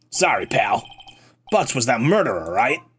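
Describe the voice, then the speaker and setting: A woman's put-on character voice, raspy, at a moderate pace. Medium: virtual streamer. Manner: gruff, rough.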